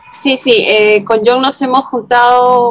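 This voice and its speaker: A woman is speaking. Her pace is fairly slow. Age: 30s. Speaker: film critic. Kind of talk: interview. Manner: hesitant, many fillers.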